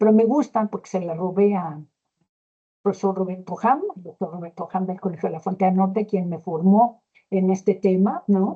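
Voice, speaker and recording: This woman's intonation is fairly even. She has a medium pitch. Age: 60s. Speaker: gerontology expert speaker. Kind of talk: lecture. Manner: hesitant, many fillers.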